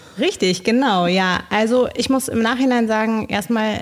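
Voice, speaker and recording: A normal speaking voice from a woman, fairly high in pitch, at a moderate pace. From Bolivia. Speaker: social project leader. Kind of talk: interview.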